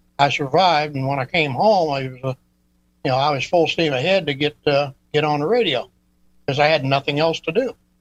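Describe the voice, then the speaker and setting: With an American accent, a man of fairly high pitch talks at a fairly quick pace yet leaves long, frequent pauses. His pitch variation is ordinary, and the sound is dry and close with no echo. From northeast Oklahoma. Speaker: retired trucker, ham radio caller. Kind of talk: casual chat. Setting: call-in to live stream.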